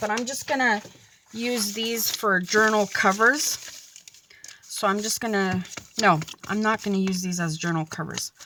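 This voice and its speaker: Medium pitch from a woman, with noticeable background noise. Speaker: papercraft and journaling YouTuber. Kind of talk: craft tutorial. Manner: slow; halting, many fillers.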